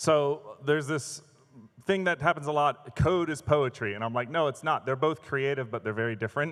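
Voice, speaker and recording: An unremarkable speaking voice from a man, fairly high in pitch, at a moderate pace with ordinary pitch variation, on a very clean recording with a silent background. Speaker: education evangelist, former literature teacher. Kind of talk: conference talk. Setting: live conference stage. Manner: casual, humorous.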